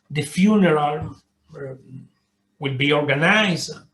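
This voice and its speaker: At a very slow pace, a man speaks in a fairly high, somewhat breathy voice with ordinary pitch variation. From Cuba. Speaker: diplomat. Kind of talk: interview. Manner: halting, many repetitions.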